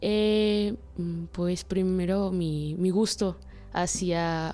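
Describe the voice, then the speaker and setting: A woman's medium-pitched voice with fairly even intonation over music in the background. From Mexico, Chiapas, Comitán. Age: 20s. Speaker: anthropology student. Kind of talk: interview. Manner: halting, many fillers and repetitions.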